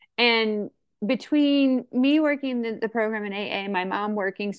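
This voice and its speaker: A woman speaks with a Midwestern accent. Her pace is moderate. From St. Louis, Missouri (US Midwest). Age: 40s. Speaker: AA speaker. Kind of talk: recovery testimony. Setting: video call. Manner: halting, many fillers.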